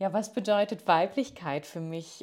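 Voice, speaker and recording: This woman has a plain, everyday voice at a medium pitch, with ordinary pitch variation and a fairly slow pace, on a very clean recording with a silent background. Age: 30s. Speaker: yoga teacher. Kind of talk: recorded voice message.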